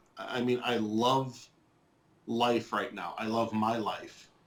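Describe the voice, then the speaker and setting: A man with an American accent speaks at a very slow pace. His pitch is medium. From southwest Michigan. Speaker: interviewee sharing life story. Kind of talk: testimony interview. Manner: hesitant, many fillers and repeats.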